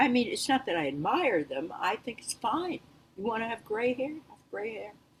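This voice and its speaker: Very wide pitch swings run through a somewhat breathy voice. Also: woman. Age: 80s+. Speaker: singer and author. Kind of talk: interview answer. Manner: casual, chatty.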